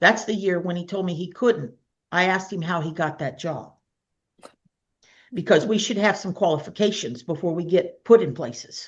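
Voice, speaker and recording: A woman with a fairly low pitch and lively intonation speaks at a moderate pace, leaving long, frequent pauses. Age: 60s. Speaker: minister and healer. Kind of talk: casual chat.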